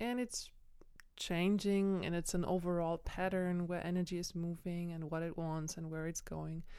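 A woman speaks in a fairly low, dark, mellow voice. Her intonation is monotone and flat, and her pace is moderate. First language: not English. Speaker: podcast host, personal growth. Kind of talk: solo monologue. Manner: halting.

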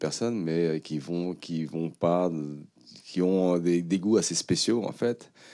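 Slow to a crawl, a man speaks with a dark, mellow tone and ordinary pitch variation. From France. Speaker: film director and music producer. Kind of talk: panel talk. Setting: stage with audience. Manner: halting.

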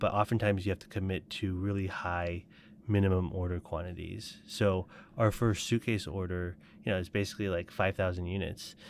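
Monotone and flat, a man with an American accent speaks at a fairly quick pace in a very deep, low pitch, captured in a very clean recording with a silent background. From Colorado and Taiwan. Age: 30s. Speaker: startup founder. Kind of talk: interview.

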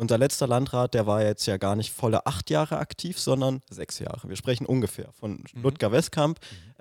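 Heard dry and close with no echo, a man has a plain, everyday voice of medium pitch with ordinary pitch variation. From Germany, Oranienburg. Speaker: podcast host, youth party member. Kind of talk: interview.

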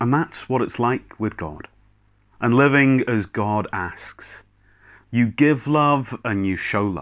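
With a Scottish accent, a man speaks at a very slow pace with long, frequent pauses against a quiet background. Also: medium pitch for a man, ordinary pitch variation. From Scotland, Clackmannanshire/Kinross area. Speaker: minister. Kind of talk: sermon. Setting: recorded video service.

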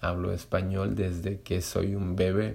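A man speaks with a Spanish accent and a very deep, low pitch. His tone is dark and mellow, somewhat breathy. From Latin America. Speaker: Spanish teacher and podcaster. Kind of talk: solo monologue podcast. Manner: slow; halting, many fillers.

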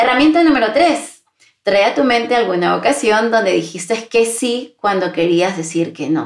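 Here a woman's warm voice carries vocal fry and lively intonation. She keeps a moderate pace. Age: 40s. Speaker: podcast host and employability mentor. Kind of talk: solo podcast monologue. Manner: warm, intimate.

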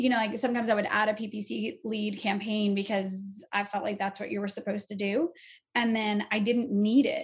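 A woman with a fairly high pitch speaks at a fairly quick pace, somewhat breathy, with fairly even intonation. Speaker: real estate agent. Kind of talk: interview chat.

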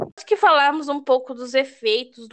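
Her voice sits high as the woman talks at a moderate tempo. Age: 20s. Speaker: logistics student. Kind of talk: reading prepared talk.

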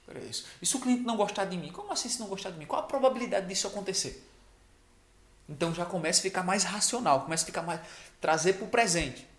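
This man's voice is high in pitch for a man. He talks at a very fast pace. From Brazil, small rural village. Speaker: sales trainer, video creator. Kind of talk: motivational talk to camera. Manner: casual, conversational.

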